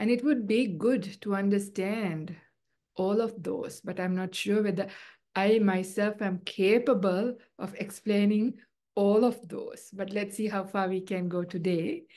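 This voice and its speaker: A woman with a non-native accent speaks in a dark, mellow tone. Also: medium pitch for a woman, fairly even intonation, fairly slow pace. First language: not English. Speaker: Buddhist nun and teacher. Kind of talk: dharma talk. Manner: hesitant, with fillers.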